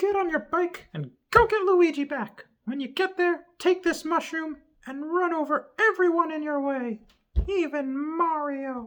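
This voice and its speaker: A man uses a put-on character voice. It is squeaky and extremely high in pitch. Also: moderate pace. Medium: read story. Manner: bossy, decisive.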